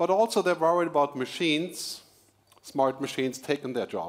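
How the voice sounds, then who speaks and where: Lively intonation from a man, at a moderate pace. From Germany. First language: German. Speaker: futurist keynote speaker and author. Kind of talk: keynote speech. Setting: stage with audience at corporate event.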